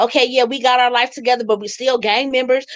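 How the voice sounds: A woman speaks fast in a fairly high, fairly bright voice with fairly even intonation.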